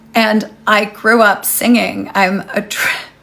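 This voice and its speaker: Here a woman is speaking. Noticeable background noise runs behind her. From Canada. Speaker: life coach and retreat host. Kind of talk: live session with story time.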